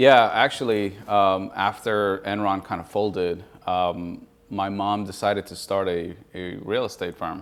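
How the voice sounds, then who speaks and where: A man with an ordinary speaking voice talks at a fairly slow pace and fairly low pitch. His intonation stays fairly even while his loudness swings widely. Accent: American. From Colombia, raised from about eleven in Houston, Texas. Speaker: real estate investor. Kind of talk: interview podcast. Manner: relaxed, many fillers (uh, um).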